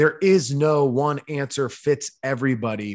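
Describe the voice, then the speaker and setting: Very clean audio with a silent background carries a man's fairly high voice. His pitch varies in an ordinary way. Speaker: podcast host. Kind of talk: casual interview. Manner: high energy.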